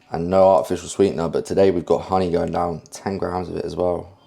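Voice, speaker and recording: Dark and mellow, a man's very deep, low voice comes through with a British accent. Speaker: fitness vlogger. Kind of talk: casual vlog chat. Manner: energetic.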